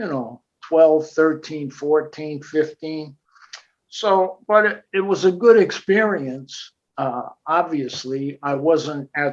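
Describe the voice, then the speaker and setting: Talking at a very slow pace with an American accent, a man uses a fairly high pitch and ordinary pitch variation. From New Jersey, Passaic. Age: 80s+. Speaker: jazz drummer. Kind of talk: interview storytelling. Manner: hesitant, with frequent fillers and repeats.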